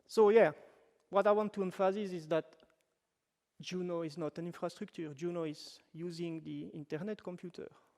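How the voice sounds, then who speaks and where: With a French-Swiss accent, a man speaks in a high voice. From French-speaking Switzerland. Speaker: web developer, workshop presenter. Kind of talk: technical workshop talk. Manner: casual, with fillers and self-corrections.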